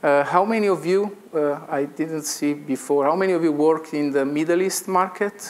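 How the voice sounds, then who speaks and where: Someone with an Italian accent speaks with fairly even intonation and hardly any pauses, over noticeable background noise. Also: man, fairly high pitch for a man, moderate pace. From Italy. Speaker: engineering consultant. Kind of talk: conference presentation. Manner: halting.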